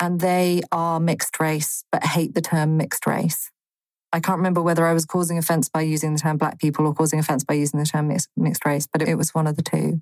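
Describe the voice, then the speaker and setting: A woman talks at a very fast pace with a very deep, low pitch and monotone, flat intonation. Her loudness stays very even, and the sound is dry and close with no echo. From Botswana and London. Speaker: theatre artistic director. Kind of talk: interview.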